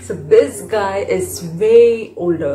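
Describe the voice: The intonation is lively. A woman speaks in a slightly mellow tone.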